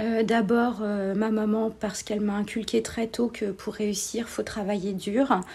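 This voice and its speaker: A woman speaks with a fairly high pitch and a somewhat breathy delivery. Her tone is dark and mellow. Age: 40s. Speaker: civil servant. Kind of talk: interview. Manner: hesitant, many fillers.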